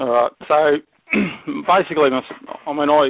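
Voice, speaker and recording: Fairly even in intonation, the speaker talks at a very fast pace with an Australian accent. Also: man. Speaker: wildlife educator, snake handler. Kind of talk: casual interview chat. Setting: phone call.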